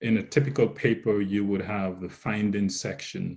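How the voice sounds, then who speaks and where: A man with a fairly low pitch speaks with a Jamaican accent. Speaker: researcher presenter. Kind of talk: lecture. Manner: halting.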